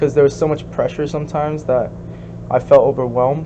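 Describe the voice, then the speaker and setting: A man with a Korean accent speaks against noticeable background noise. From US, second-generation Korean immigrant. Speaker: interviewee, second-generation immigrant. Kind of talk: casual interview. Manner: hesitant, many fillers.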